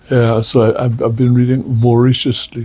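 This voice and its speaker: A man speaks at a moderate pace with a medium pitch. There is noticeable background noise. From Saint Lucia, rural village. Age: 80s+. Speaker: retired politician. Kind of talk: interview. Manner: halting, repetitive.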